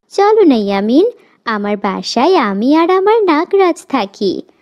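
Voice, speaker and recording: In a cartoonish character voice with very wide pitch swings, the speaker moves at a moderate pace. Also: female-sounding voice, high pitch for a woman. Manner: sweet, coaxing.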